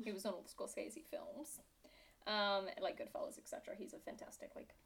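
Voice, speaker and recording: Speaking with a British accent, a woman uses a fairly high pitch at a moderate pace. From Britain. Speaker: podcast co-host. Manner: playful, sarcastic.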